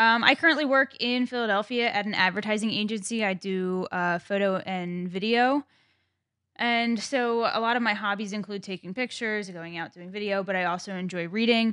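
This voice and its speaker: A woman with a bright, sharp tone and medium pitch speaks at a moderate pace with ordinary pitch variation over a quiet background. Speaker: guest, photo and video hobbyist. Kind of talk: casual podcast chat.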